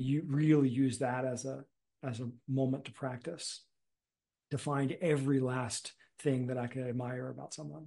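The voice has a dark, mellow tone and is somewhat breathy, with monotone, flat intonation. It moves at a moderate pace over a quiet background. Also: man. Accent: American. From US Northeast, Philadelphia suburbs; Pennsylvania. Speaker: meditation teacher and community builder; meditation teacher. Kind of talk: casual chat. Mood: relaxed, reflective. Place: home room. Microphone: video call.

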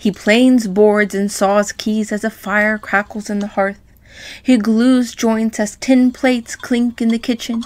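This is an ordinary speaking voice. A woman speaks at a moderate pace in a fairly high pitch. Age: young. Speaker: pianist and piano teacher. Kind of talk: reading aloud. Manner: expressive.

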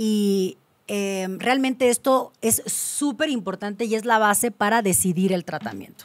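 The woman's speech moves at a fairly slow pace. Her pitch rises and falls in an ordinary way. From Mexico, Cancún; Mexico. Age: 30s. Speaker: gynecologist; guest. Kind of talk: interview. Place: studio. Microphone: studio mic.

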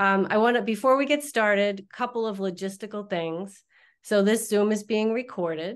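The woman talks at a moderate pace, and the background is quiet. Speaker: webinar host. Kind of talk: webinar introduction. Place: office. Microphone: video call.

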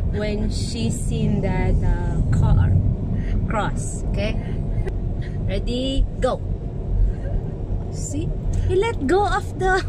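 Loud background noise accompanies a woman speaking at a very slow pace, with a dry sound and no echo. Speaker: family vlogger. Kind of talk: casual vlog chat. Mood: playful, teasing, laughing. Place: car. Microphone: phone near.

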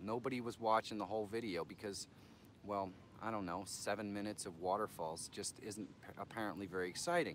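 Against light background noise, a man with a fairly low pitch talks at a fairly quick pace, the sound dry with no echo. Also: ordinary pitch variation. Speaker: channel host giving advice. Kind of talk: live stream commentary. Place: garden. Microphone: phone near.

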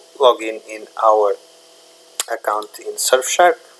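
Noticeable background noise sits under this clip. A man speaks at a very slow pace. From Portugal. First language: Portuguese. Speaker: tech YouTuber. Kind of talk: tutorial. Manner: halting, many fillers.

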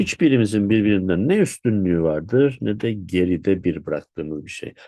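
A dark, mellow tone comes through over a quiet background. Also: man. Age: 50s. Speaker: Sufi spiritual teacher. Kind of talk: spiritual talk.

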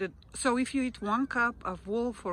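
A woman at a fairly slow pace with ordinary pitch variation, in a dry sound with no echo and light background noise. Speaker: vlogger. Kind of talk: casual walking vlog narration. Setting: outdoors on a walk. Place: open country. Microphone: lapel.

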